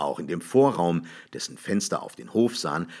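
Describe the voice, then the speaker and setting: Vocal fry and very wide pitch swings mark this moderate-paced speech on a very clean recording with a silent background. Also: man. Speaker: audiobook reader. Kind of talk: literary short story reading.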